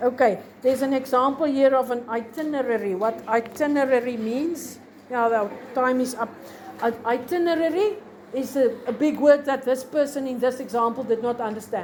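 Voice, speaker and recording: Over noticeable background noise and audible room echo, a woman speaks with a South African accent. Her voice is high-pitched with ordinary pitch variation, at a moderate pace. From South Africa, Free State. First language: Afrikaans. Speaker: teacher. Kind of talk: lecture. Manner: halting.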